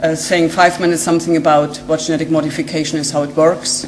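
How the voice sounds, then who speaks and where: Over noticeable background noise and audible room echo, a woman with a very deep, low pitch talks at a fairly quick pace in a monotone, flat intonation. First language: German. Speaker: genetic scientist. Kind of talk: lecture. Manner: hesitant, many fillers.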